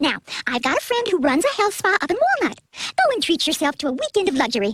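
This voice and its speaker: Delivered at a very fast pace, this cartoonish character voice leaps through very wide pitch swings in a dry, close sound with no echo. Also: woman, extremely high pitch for a woman. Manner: chatty, easygoing.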